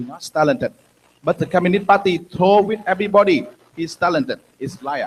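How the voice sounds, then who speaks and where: The speaker is a man with a high pitch. He talks at a fairly quick pace, with big swings in loudness. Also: lively intonation. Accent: Vietnamese. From Vietnam. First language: Vietnamese. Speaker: former political prisoner, activist. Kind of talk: conference interview on stage. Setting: conference stage with audience. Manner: halting.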